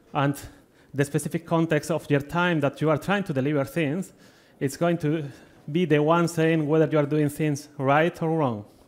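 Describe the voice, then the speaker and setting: A man speaks with a Spanish accent at a moderate pace. His pitch is fairly high and his intonation fairly even. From Spain. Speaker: agile delivery consultant, conference speaker. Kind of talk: conference talk. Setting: stage with audience.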